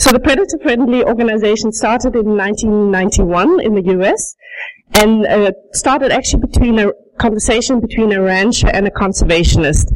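A woman in a slight South African accent speaks in a fairly high pitch with ordinary pitch variation and very even loudness. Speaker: sheep rancher. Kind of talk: conference presentation. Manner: fast.

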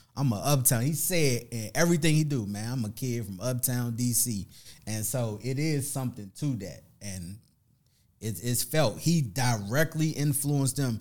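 Using a normal speaking voice, a man with an American accent talks at a moderate pace and a medium pitch with ordinary pitch variation. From Washington, D.C. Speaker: MC. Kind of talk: casual chat.

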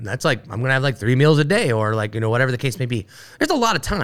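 Very fast and with lively intonation, a man with an American accent speaks at a medium pitch. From Ohio, Dayton. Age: 40s. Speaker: brewery owner. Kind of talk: casual chat. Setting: studio.

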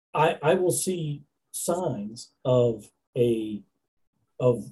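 A man's somewhat breathy voice, dark and mellow in tone, sits at a medium pitch with ordinary pitch variation. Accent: American. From southern New Hampshire, US (Nashua). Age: 50s. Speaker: trucking company owner. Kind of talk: interview.

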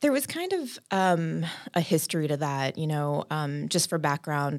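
A woman's very deep, low voice with an American accent, at a moderate pace, on a very clean recording with a silent background. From South Texas, San Antonio. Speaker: business founder and CEO. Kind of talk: casual interview.

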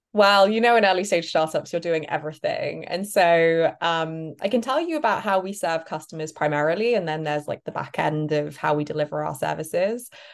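Speaking at a fairly quick pace, a woman with a British accent is heard over a quiet background. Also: fairly low pitch for a woman, ordinary pitch variation. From Britain. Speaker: startup cofounder. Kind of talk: interview.

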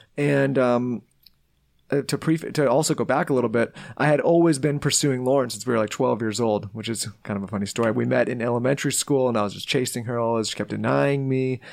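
Someone talks at a very fast pace with ordinary pitch variation. The recording is very clean, with a silent background. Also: man, medium pitch for a man. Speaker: entrepreneur and podcast network founder. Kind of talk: casual interview chat.

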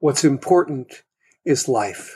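A man with an American accent and a normal speaking voice, fairly slow, with lively intonation. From US Midwest, rural Ohio. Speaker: financial planning educator and author. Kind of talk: interview.

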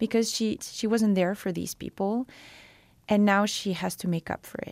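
A woman with a Quebec accent at a moderate pace, on a very clean recording with a silent background. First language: French. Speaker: novelist. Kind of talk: interview. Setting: studio.

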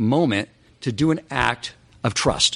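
A man is speaking. Vocal fry runs through his voice. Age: 40s. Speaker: podcast host giving Torah talks. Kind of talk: religious lecture.

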